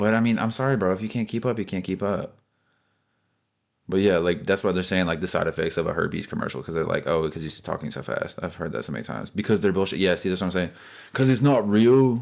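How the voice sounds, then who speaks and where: A man speaks very fast with an American accent, his pitch fairly low. The background is quiet. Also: ordinary pitch variation. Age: 20s. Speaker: space content creator. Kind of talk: casual commentary reacting to comments. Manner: animated.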